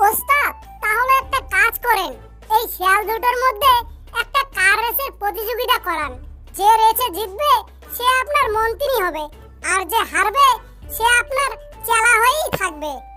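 Clear music plays in the background as a cartoonish character voice goes along at a moderate pace.

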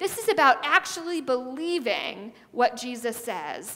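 A woman speaks in a raised, projected voice at a fairly slow pace. Her intonation is lively. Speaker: preacher. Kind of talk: sermon. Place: church. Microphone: headset.

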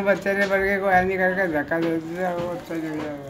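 Noticeable background noise runs under the recording. A man talks with fairly even intonation. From India, Panipat. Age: 80s+. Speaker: Partition migrant, former cattle and fish trader. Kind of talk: interview answer. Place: home room. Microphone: phone near.

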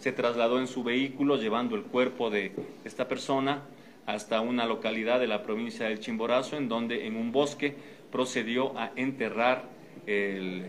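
A man speaks at a moderate pace, his pitch varying in an ordinary way, with light background noise behind him. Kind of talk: official press statement. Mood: formal, serious. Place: meeting room.

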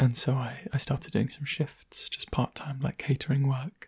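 The speaker is soft-spoken, with a gentle tone and a moderate pace. The background is quiet. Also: man. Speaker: ASMR creator. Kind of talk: soft-spoken ASMR talk to camera, casual catching-up chat. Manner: soft-spoken, gentle, conversational. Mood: warm, smiling, reflective. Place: home room. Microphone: studio mic.

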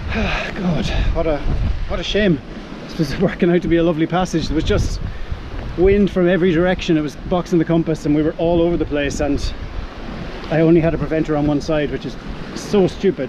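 A man speaks at a high pitch and a fairly quick pace, with fairly even intonation. The sound is dry with no echo, with noticeable background noise. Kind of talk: casual vlog chat. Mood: upset, self-critical, adrenaline. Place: boat. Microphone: phone near.

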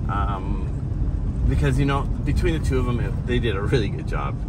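The background noise is loud. Through it, a man speaks at a moderate pace. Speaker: travel vlogger driving. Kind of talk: casual vlog chat. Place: car. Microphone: camera far.

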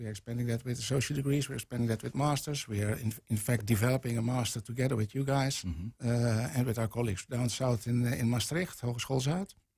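A somewhat breathy male voice at a very fast pace, with ordinary pitch variation over a quiet background. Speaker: guest. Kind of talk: interview answer. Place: studio. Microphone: studio mic.

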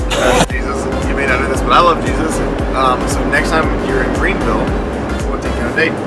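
Music in the background accompanies a man who talks fairly quickly. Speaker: pastor. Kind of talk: casual storytelling. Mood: humorous, animated storytelling. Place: car. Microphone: phone near.

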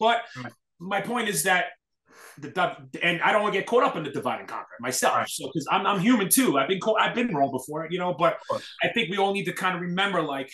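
Speaking very fast in a raised, projected voice, a man with an American accent pitches high amid audible room echo. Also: lively intonation. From New York City. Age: 40s. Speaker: hardcore scene event promoter; podcast guest. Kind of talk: casual chat. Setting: video call. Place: home room. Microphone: webcam.

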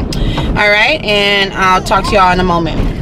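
Noticeable background noise runs beneath a woman's voice. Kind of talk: casual vlog chat. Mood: proud, warm. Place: car. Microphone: phone near.

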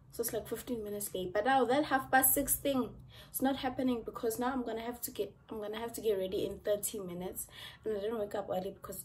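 Over light background noise, a woman speaks at a very fast pace, somewhat breathy, with ordinary pitch variation. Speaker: student vlogger. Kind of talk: casual vlog chat. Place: home room. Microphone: phone near.

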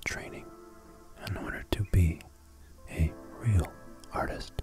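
Clear music plays in the background behind a dry sound with no echo. The speech comes at a fairly slow pace. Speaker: ASMR channel host. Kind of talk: ASMR sleep history lesson, soft-spoken narration. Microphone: studio mic.

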